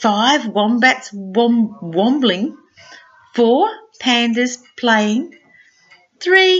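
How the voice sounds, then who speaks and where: Over music in the background, a woman speaks at a very slow pace with a high pitch. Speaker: retired primary school teacher. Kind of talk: children's picture book read-aloud.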